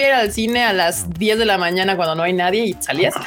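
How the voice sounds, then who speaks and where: A woman's medium pitch in a Mexican accent, fairly quick and lively in intonation, over noticeable background noise. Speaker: anime podcast host. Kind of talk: casual livestream chat. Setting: video call livestream.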